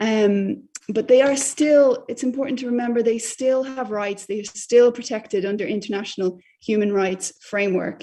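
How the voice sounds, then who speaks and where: A woman in an Irish accent speaks at a moderate pace with hardly any pauses, her dark, mellow tone fairly high in pitch and her pitch varying in an ordinary way. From Ireland. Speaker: journalist. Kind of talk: lecture. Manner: hesitant with many fillers.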